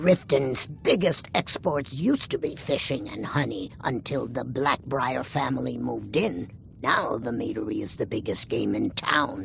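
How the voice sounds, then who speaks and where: A man performs a put-on character voice at a moderate pace with hardly any pauses. Background noise is clear. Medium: video game.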